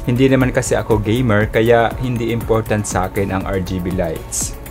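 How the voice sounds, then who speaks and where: Clear music plays in the background. A man speaks at a moderate pace. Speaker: tech product reviewer. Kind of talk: product review talk. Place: home room. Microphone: studio mic.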